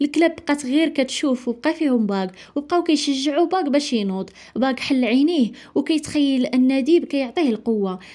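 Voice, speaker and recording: A woman with a Moroccan accent speaks in a high, dark and mellow voice at a moderate pace, her pitch moving in an ordinary way and her loudness staying very even on a very clean recording with a silent background. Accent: Moroccan Darija. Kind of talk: movie summary narration.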